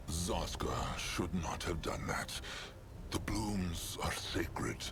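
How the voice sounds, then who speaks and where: Over loud background noise, a man uses a put-on character voice at a very slow pace. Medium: game stream. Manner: speaks of himself in third person.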